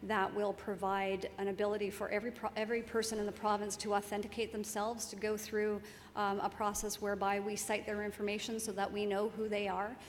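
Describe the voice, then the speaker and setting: Fairly quick, monotone speech with flat intonation and audible room echo. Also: woman, medium pitch for a woman. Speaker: senior public servant, keynote speaker. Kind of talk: conference Q&A answer.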